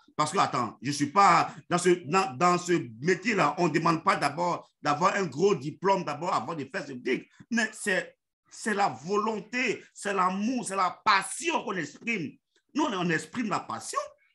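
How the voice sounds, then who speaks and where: A man raises and projects his high-pitched voice, his tone bright and sharp and his intonation lively. He goes at a fairly slow pace over a quiet background. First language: Yacouba (Dan) (speaking French). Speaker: network marketing leader. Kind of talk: motivational online meeting talk. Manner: halting, many fillers and repetitions.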